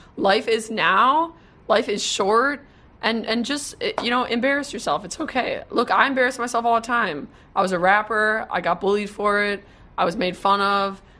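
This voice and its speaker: Fairly high-pitched woman with an American accent, a bright, sharp tone and lively intonation. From Wisconsin. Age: 20s. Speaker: social media marketer. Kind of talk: casual interview. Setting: live video stream.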